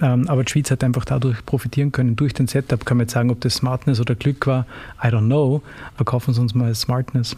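Speaking at a fairly quick pace, a man with an Austrian accent keeps a medium pitch and a monotone, flat intonation. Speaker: lawyer and consulting partner. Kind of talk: interview.

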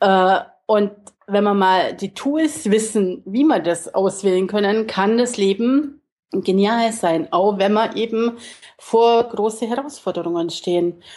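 Very slowly, a woman speaks in a medium-pitched voice that varies in pitch in an ordinary way. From Augsburg, Bavaria, Germany. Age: 50s. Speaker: life coach. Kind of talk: interview.

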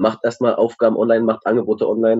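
At a medium pitch, a man talks very fast. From Berlin. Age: 20s. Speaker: youth worker. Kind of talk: casual chat. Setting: video call.

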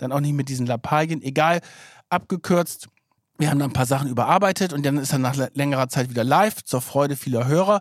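With an energetic tone, a man speaks at a very fast pace and fairly high pitch for a man. His pitch varies in an ordinary way on a very clean recording with a silent background. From northern Germany, near Bremen. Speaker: investigative journalist, podcast co-host. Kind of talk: casual chat.

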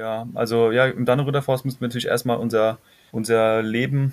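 The man's pitch sits in the medium range. His intonation is monotone and flat. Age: 20s. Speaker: climate activist and documentary filmmaker. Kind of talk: interview. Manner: halting.

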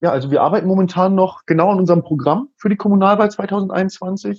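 The sound is dry and close with no echo as a man with a high pitch speaks at a fairly quick pace with ordinary pitch variation. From northern Germany, Hannover region. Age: 20s. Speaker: local party politician. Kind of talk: casual interview.

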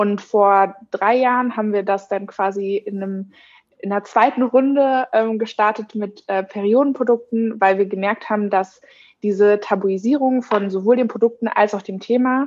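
A woman speaks in a normal speaking voice. Her pitch is fairly high, with ordinary pitch variation. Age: 20s. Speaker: social media and events staff at a company. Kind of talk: interview.

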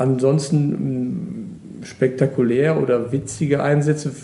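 A plain, everyday voice from a man, fairly high in pitch, with fairly even intonation. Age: 50s. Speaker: water police officer. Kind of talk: interview.

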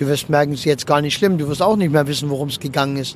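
A man speaks with a fairly high pitch. Noticeable background noise runs underneath. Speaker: funeral speaker and podcast host. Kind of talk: casual monologue. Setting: in a car.

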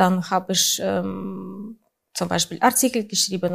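Vocal fry marks a voice with a Russian accent in a very clean recording with a silent background. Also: woman. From Russia, St. Petersburg. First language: Russian (speaking German). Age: 40s. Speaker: photographer. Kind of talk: interview. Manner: halting, many fillers.

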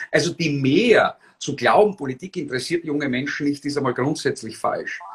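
A somewhat breathy man's voice, fairly high-pitched, at a moderate pace with ordinary pitch variation. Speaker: former politician, political blogger and rhetoric trainer. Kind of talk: interview. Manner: articulate.

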